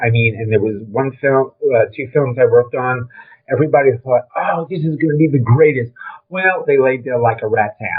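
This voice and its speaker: A man in a Brooklyn accent talks at a moderate pace with ordinary pitch variation. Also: medium pitch for a man. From New York (Brooklyn). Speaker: film industry veteran. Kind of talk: interview. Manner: casual, filler-heavy.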